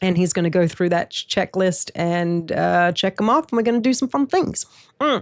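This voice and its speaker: A woman with lively intonation, very cleanly recorded against a silent background, the sound dry and close with no echo. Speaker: podcast host. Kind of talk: casual chat. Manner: animated.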